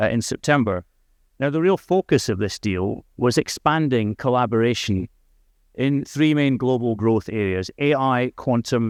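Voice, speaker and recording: A man speaks with a Scottish accent at medium pitch and a moderate pace, with ordinary pitch variation, over a quiet background in a dry, close sound with no echo. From Scotland. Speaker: diplomat. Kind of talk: conference speech.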